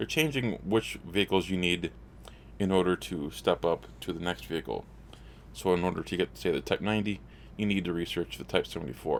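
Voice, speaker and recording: The delivery comes at a fairly quick pace, with lively intonation and vocal fry running through it. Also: man, very deep, low pitch for a man. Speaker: gaming YouTuber. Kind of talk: gameplay news commentary. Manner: halting, repeats words.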